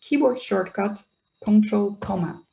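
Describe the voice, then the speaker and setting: The voice has a dark, mellow tone, is somewhat breathy, and moves at a moderate pace. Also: woman. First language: Dutch. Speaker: software trainer. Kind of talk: webinar tutorial.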